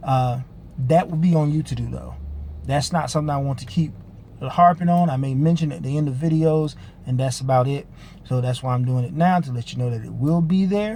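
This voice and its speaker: The tone is dark and mellow. The voice sounds somewhat breathy. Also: man, fairly high pitch for a man, ordinary pitch variation, fairly quick pace. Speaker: online ministry teacher. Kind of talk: spiritual teaching video. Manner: fast; casual with filler uhs.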